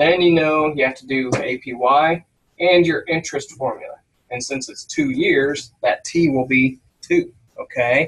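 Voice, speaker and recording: This man talks fairly slowly. The volume of his voice rises and falls a great deal. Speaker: business instructor. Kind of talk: tutorial. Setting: screen-share recording.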